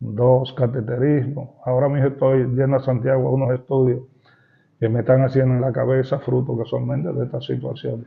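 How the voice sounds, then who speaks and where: Medium in pitch, this man talks at a fairly quick pace. His intonation stays monotone and flat. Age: 70s. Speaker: retired teachers' union leader. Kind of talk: interview.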